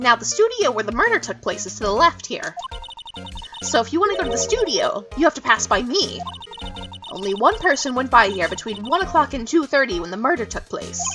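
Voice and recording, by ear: A put-on character voice, gravelly and fairly high, moves at a fairly quick pace over clear background music.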